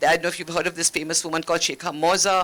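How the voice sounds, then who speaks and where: Fairly low in pitch, a woman's voice has a bright, sharp tone. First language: Malayalam. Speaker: former ambassador, diplomat. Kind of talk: panel discussion.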